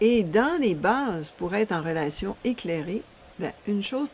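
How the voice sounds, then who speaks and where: Her pitch swings very widely as this woman speaks. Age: 60s. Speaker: relationship coach. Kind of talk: promotional seminar presentation.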